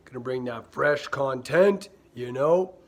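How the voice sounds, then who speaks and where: Over noticeable background noise, a man speaks at a fairly slow pace with a medium pitch and ordinary pitch variation. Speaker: YouTuber. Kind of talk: casual vlog talk to camera. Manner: halting, many fillers.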